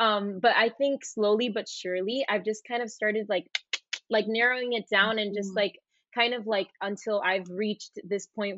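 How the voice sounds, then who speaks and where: A woman of medium pitch speaks at a moderate pace with fairly even intonation. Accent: Puerto Rican. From Puerto Rico. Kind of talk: interview.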